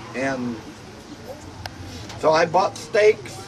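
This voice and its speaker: Over noticeable background noise, a man speaks at a fairly slow pace in a fairly high pitch with very wide pitch swings. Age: 80s+. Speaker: grandfather. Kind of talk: storytelling, casual family talk. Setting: outdoors, porch.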